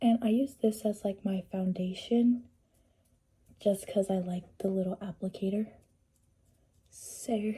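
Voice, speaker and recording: Speaking at a fairly slow pace with long, frequent pauses, a woman at medium pitch uses fairly even intonation in a somewhat breathy, dark, mellow tone. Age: 20s. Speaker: beauty vlogger. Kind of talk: casual chat. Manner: casual, chatty.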